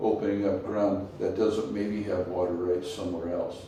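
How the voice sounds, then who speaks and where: Over noticeable background noise and audible room echo, a man with an American accent talks in a flat, monotone way at a fairly low pitch. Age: 70s. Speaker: multigenerational farmer. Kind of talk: interview.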